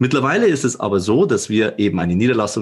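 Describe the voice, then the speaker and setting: With a Bavarian accent, a man talks in a somewhat breathy, medium-pitched voice with lively intonation. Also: very clean recording, silent background. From Upper Bavaria, Germany. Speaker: managing director of a digital company. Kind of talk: podcast interview.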